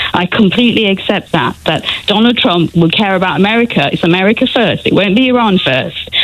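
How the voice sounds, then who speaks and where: Noticeable background noise surrounds a woman speaking with a British accent. Her pace is fairly quick and her intonation lively. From England. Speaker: caller. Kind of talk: heated debate.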